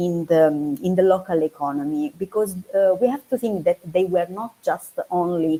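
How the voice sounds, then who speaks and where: A woman with an Italian accent speaks at a fairly low pitch with lively intonation. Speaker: archaeology researcher. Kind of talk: academic talk. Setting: online video seminar. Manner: halting, many fillers.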